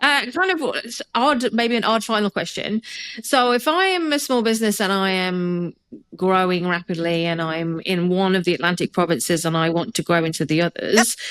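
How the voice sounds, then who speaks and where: A woman with an English accent, medium-pitched and lively in intonation, at a moderate pace. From England. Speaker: podcast host, HR consultant. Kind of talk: casual interview.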